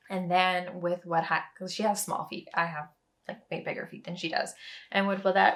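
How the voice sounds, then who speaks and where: A raspy put-on character voice delivers the lines at a moderate pace. The intonation stays monotone and flat. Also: woman, medium pitch for a woman. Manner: talking quickly.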